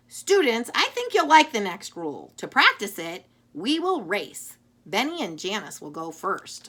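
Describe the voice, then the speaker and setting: A put-on character voice with very wide pitch swings moves along at a moderate pace. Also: female-sounding voice, fairly high pitch for a woman. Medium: read story. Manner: patient, instructive.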